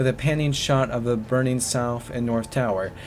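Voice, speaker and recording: A man at medium pitch uses ordinary pitch variation while noticeable background noise is heard. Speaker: YouTuber. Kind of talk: reading aloud. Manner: halting.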